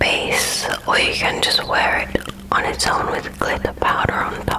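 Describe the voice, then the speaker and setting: Noticeable background noise sits behind someone whispering. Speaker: ASMR creator. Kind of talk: ASMR makeup tutorial. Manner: whispered; soothing, calm.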